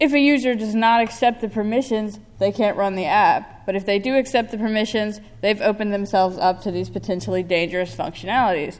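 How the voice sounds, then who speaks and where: A woman with an American accent talks at a very fast pace, with hardly any pauses. Her pitch is fairly high, and its variation is ordinary. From United States. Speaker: security researcher. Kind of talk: conference talk. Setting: stage with audience. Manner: animated. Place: hall. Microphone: podium.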